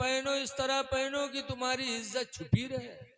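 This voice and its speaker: A man's raised, projected voice, extremely high in pitch, in a flat monotone. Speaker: Islamic preacher. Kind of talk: religious sermon.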